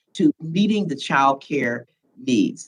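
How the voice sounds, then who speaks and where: A woman with an American accent at a moderate pace. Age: 70s. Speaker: congresswoman. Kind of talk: committee hearing questioning.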